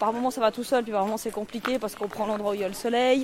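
There is noticeable noise in the background. A woman with a fairly high pitch speaks with fairly even intonation. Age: 40s. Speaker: social educator. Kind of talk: casual conversation while walking. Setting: outdoors, walking in forest. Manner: hesitant, many fillers.

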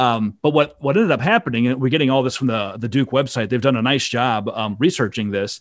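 A man with a Midwestern American accent speaks at a very fast pace with hardly any pauses, in a very clean recording with a silent background. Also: medium pitch for a man, ordinary pitch variation. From Iowa. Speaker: podcast host, intellectual property lawyer. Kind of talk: casual chat.

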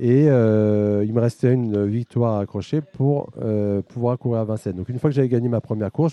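Against a quiet background, a man talks in a dark, mellow tone with fairly even intonation, the sound dry and close with no echo. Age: 50s. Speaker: amateur harness racing driver. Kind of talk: interview.

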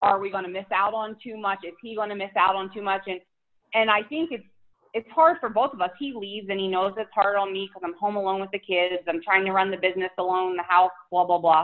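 This woman talks very fast, her pitch medium with ordinary variation. Her loudness swings widely. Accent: Philadelphia. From Philadelphia, US. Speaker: fitness influencer and mom. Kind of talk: casual interview chat.

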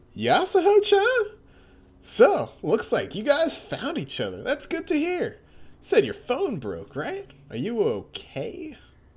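Someone does a put-on character voice at an extremely high pitch and a fairly slow pace. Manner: friendly, smooth.

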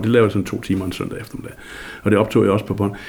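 Over noticeable background noise, a man speaks in a fairly low, flat monotone. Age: 60s. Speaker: journalist, former local radio DJ. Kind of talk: interview. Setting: at home.

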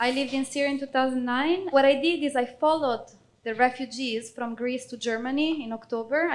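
A woman with an Italian accent and a high pitch speaks at a fairly quick pace, her intonation fairly even. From Italy. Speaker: refugee volunteer. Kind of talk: testimony.

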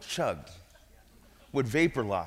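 On a very clean recording with a silent background, a man speaks in an animated tone. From Brooklyn, New York. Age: 40s. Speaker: guest preacher. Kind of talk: sermon. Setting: church.

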